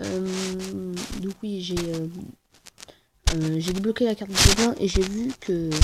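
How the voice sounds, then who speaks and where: With music in the background, a soft-spoken woman talks very slowly with fairly even intonation and long, frequent pauses. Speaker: gaming YouTuber. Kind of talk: gameplay commentary. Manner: quiet, speaking softly; hesitant, many fillers.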